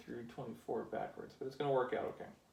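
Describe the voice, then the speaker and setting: Room echo is audible. It surrounds a man's speech. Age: adult. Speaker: toy building hobbyist youtuber. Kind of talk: casual build tutorial.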